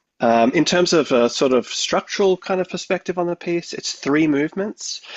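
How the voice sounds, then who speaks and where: A man with a high voice talks at a moderate pace, his intonation lively. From Australia, Victoria. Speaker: composer. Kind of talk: radio interview. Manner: hesitant, many fillers.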